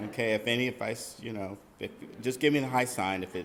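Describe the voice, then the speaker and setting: A man speaks at a fairly quick pace. His medium pitch shows ordinary variation. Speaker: nonprofit executive director. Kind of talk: presentation to audience. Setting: hall with audience. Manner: loud.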